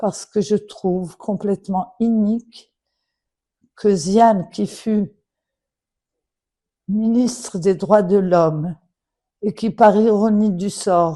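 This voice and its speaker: Against a quiet background, a woman speaks very slowly with long, frequent pauses. Her dark, mellow voice is medium in pitch with ordinary pitch variation. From Morocco. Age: 70s. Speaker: daughter of a late official. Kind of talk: public appeal. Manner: formal.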